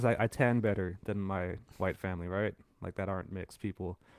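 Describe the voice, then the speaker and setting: A man speaks with a Californian accent and fairly even intonation. The sound is dry and close, without echo. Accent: Californian American English. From San Francisco, California. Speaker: podcast co-host. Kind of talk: casual chat.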